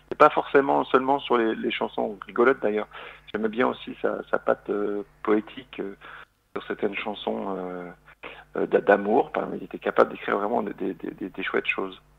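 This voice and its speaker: The pace is moderate. This male speaker's volume rises and falls in big swings. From Lorraine, eastern France. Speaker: singer-songwriter and comedian. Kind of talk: radio interview. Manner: hesitant, many fillers.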